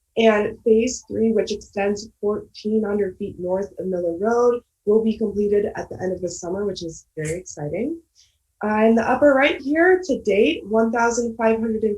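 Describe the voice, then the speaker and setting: A woman with an American accent speaks at a moderate pace in a somewhat breathy voice of medium pitch. Her intonation is lively. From Michigan, Ann Arbor. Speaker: graduate student. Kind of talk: presentation.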